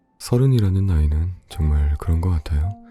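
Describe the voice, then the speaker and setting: A man speaks with a very deep, low pitch at a moderate pace. Music plays behind him. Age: 20s. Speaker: audiobook narrator. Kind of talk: casual book introduction.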